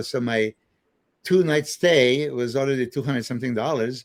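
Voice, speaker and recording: This man talks at a moderate pace. His pitch is medium, with ordinary variation. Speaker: bodybuilder and trainer. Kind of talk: casual podcast interview, storytelling. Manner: animated, hesitant with fillers.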